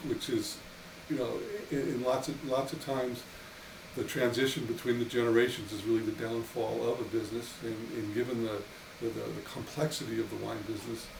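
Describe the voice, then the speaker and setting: Background noise is noticeable and room echo is audible. A man speaks fairly quickly at a medium pitch. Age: 60s. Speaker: winery owner. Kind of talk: casual interview. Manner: halting, many repeated words.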